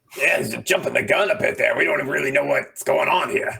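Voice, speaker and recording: A man speaks in a raspy, put-on character voice. His delivery moves at a fairly quick pace. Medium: actual play. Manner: cautious.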